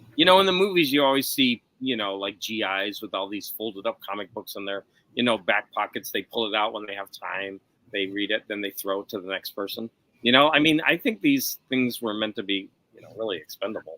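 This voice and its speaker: Here is a plain, everyday voice moving at a fairly quick pace, with ordinary pitch variation and big swings in loudness. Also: man, fairly low pitch for a man. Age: 50s. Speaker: live stream host, comic collector. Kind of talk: casual chat. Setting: live stream video call.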